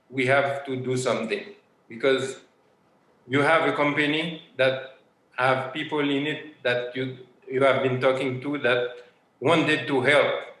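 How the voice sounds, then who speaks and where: In a monotone, flat delivery, a man at a medium pitch speaks at a fairly slow pace with long, frequent pauses, and audible room echo surrounds him. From Haiti. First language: French or Haitian Creole. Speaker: sourcing partner. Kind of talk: interview.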